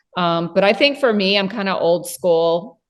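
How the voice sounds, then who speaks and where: A woman with an ordinary speaking voice, medium in pitch with ordinary pitch variation. The background is quiet. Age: 50s. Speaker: cleaning business owner. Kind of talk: casual interview chat.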